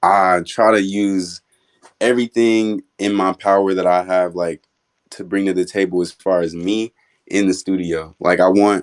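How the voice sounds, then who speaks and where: With a very deep, low pitch, a man talks at a moderate pace in a flat monotone, the recording very clean with a silent background and a dry, close sound with no echo. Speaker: rapper. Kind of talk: casual interview. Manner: talks like he raps.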